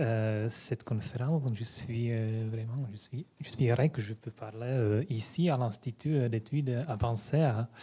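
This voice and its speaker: A man with a Czech accent speaks in a somewhat breathy voice with a dark, mellow tone. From Czech Republic (Prague). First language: Czech (speaking French). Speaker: philosophy lecturer. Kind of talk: lecture. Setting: conference hall with audience. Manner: halting, many hesitations.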